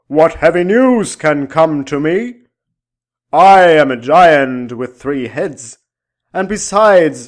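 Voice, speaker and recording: A man puts on a booming character voice at a fairly high pitch. He speaks at a very slow pace on a very clean recording with a silent background. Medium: read story. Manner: archaic, formal speech.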